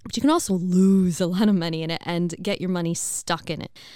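A woman with an American accent talks at a very fast pace in a medium pitch. Her tone is energetic. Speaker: podcast host. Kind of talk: casual monologue. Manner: laughs often.

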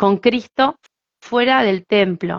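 This woman speaks with a Rioplatense accent and a fairly high pitch. Her pitch varies in an ordinary way. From Argentina, Buenos Aires. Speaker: singer and evangelist. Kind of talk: interview.

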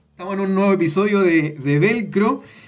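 A man with a Chilean accent speaks with ordinary pitch variation. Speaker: podcast host. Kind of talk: casual chat. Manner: halting.

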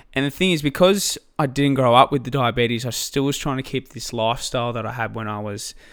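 Talking very fast with an Australian accent, a man uses ordinary pitch variation on a very clean recording with a silent background. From Australia, Albury-Wodonga on the New South Wales/Victoria border. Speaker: diabetes patient and fitness enthusiast. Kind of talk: casual interview chat. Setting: sharing one microphone indoors.

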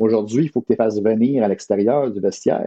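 This man has a plain, everyday voice, with medium pitch and ordinary pitch variation. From Ottawa, eastern Ontario. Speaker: sports journalist. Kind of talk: casual interview.

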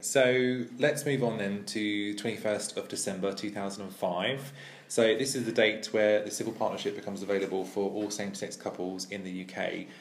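With an English accent, a man speaks in a fairly low pitch with ordinary pitch variation against noticeable background noise. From England, Ipswich. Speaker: podcast host. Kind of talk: casual chat.

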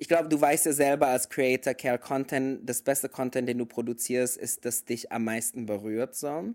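In an English accent, a man talks at medium pitch and a moderate pace with fairly even intonation and hardly any pauses, the sound dry and close with no echo. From mixed: Indonesia and several countries. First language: English (speaking German). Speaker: podcast co-host. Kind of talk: casual chat. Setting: remote call.

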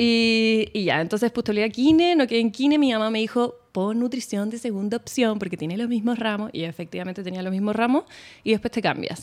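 A woman with a Chilean accent talks at a fairly quick pace with ordinary pitch variation. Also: fairly high pitch for a woman. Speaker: nutritionist. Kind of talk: casual chat.

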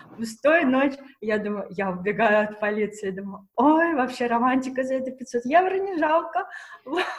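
A high-pitched woman's voice with very wide pitch swings amid noticeable background noise. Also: moderate pace, big swings in loudness. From Russia. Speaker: fashion pattern maker. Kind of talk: casual chat. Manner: animated.

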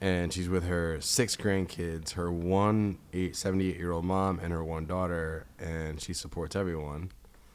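A man with an American accent speaks in a very deep, low voice at a fairly slow pace, monotone and flat, with hardly any pauses. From US East Coast. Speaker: podcast co-host. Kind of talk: casual chat.

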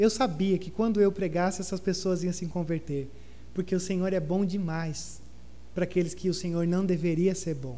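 With audible room echo, a man speaks at a moderate pace, his high-pitched voice carrying a dark, mellow tone. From southern Brazil. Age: 30s. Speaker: pastor. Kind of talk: sermon. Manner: animated.

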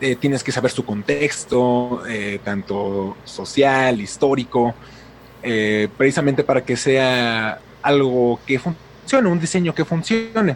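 A man at a very slow pace, medium in pitch, with ordinary pitch variation. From Mexico City. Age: 20s. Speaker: YouTube film critic. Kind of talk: casual interview.

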